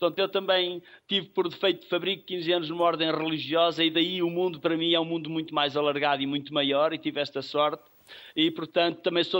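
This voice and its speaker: A man's high-pitched voice, fairly quick in pace, with fairly even intonation. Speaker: cultural association leader. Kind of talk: interview.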